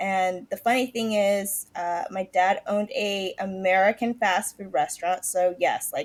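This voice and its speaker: A woman speaks with a West Coast accent at a medium pitch. She talks at a fairly slow pace with fairly even intonation and hardly any pauses. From California, Morgan Hill. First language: Mandarin. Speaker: health and life coach. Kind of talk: podcast interview.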